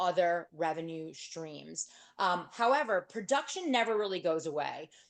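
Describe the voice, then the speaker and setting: Her tone animated, a woman with an American accent talks at a moderate pace and a medium pitch. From New York. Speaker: real estate agent and speaker. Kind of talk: workshop talk. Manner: loud.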